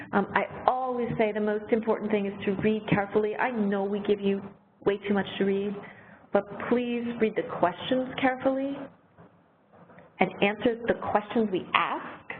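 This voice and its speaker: Noticeable background noise behind a woman's fairly high voice, fairly even in intonation, at a moderate pace with long, frequent pauses. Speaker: arts program director hosting a webinar. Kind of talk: webinar Q&A. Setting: online webinar.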